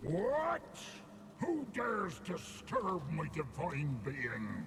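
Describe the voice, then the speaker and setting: Over clear background noise, a put-on character voice moves at a very slow pace. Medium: video game. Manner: pompous, grandiose.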